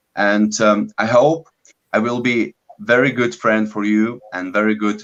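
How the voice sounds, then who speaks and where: A man talks in a fairly low voice with a non-native accent. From Lithuania. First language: Lithuanian. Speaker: business coach, bodybuilder. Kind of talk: online live masterclass. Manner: halting, many fillers.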